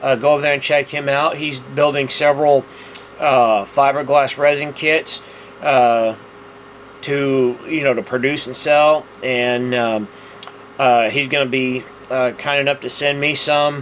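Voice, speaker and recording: A man with an American accent talks at a fairly slow pace in a fairly high voice. His intonation is monotone and flat, and there is noticeable background noise. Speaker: scale model builder, video host. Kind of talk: casual tutorial monologue. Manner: halting, many fillers.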